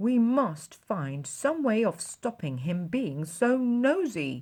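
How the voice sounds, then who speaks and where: A woman puts on a character voice at a medium pitch with very wide pitch swings. She goes at a very slow pace. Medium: read story.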